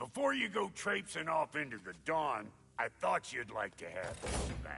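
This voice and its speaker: Using a put-on character voice, a man speaks at a moderate pace with a fairly high pitch. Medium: video game. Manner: grumpy.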